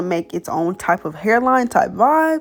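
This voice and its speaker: A woman speaks with music in the background. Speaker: beauty YouTuber. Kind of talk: tutorial voiceover. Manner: casual, chatty.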